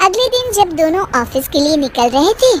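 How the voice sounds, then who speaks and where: A woman speaks at an extremely high pitch and a moderate pace. Her pitch swings very widely. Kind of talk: bedtime moral story. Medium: read story.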